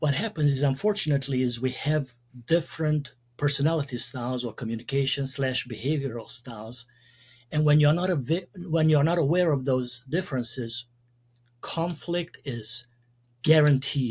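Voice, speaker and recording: Breathing lightly through his words, a man with a fairly high pitch and a Hungarian accent talks at a moderate pace with ordinary pitch variation. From Hungary. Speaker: communication consultant and speaker. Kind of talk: podcast interview.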